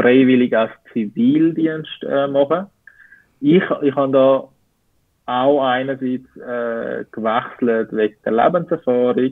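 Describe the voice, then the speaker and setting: A man's medium-pitched voice, fairly slow, with fairly even intonation. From Switzerland. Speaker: civilian service worker, former army communication expert. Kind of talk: interview answer.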